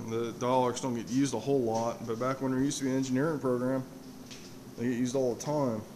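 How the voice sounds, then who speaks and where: Over light background noise, a man talks fairly quickly in monotone, flat intonation. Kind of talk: casual walk-through tour. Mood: modest, apologetic. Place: workshop. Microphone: phone near.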